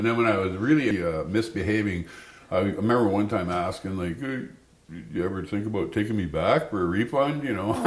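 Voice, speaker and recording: Speaking at a fairly quick pace with a Canadian accent, a man uses lively intonation at a fairly low pitch, with audible room echo. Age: 60s. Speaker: storyteller. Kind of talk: personal storytelling interview. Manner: halting.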